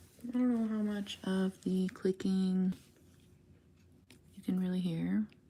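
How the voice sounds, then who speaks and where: A woman speaks at a fairly slow pace in a somewhat breathy, dark and mellow voice of medium pitch, her intonation flat and monotone. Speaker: craft livestreamer. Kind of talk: casual livestream chat while crafting. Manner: quiet, soft-spoken.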